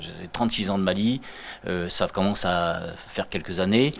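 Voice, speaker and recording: With ordinary pitch variation, a man talks at a fairly low pitch. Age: 50s. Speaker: art collector. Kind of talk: TV interview. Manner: halting, many repetitions.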